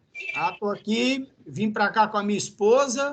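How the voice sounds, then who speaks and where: Using lively intonation, a man talks in a high pitch at a fairly slow pace. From Brazil, Ceará (Northeast). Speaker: university professor. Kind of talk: lecture. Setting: classroom.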